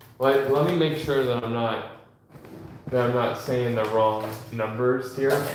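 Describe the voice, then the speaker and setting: Against noticeable background noise and audible room echo, a man speaks at a medium pitch. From Washington state, US. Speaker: sports card seller streamer. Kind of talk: casual live stream chat.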